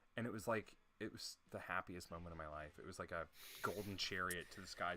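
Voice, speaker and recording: Recorded very cleanly against a silent background, a man speaks at a moderate pace in a bright, sharp tone. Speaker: UX designer podcast co-host. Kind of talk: casual chat. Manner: loud. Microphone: very close to the mic.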